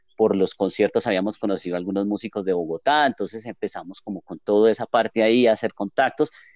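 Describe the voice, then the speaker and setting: Very fast delivery from a man with a fairly low voice. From Colombia, Armenia (coffee region). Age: 30s. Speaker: music venue owner and guitarist. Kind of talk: podcast interview.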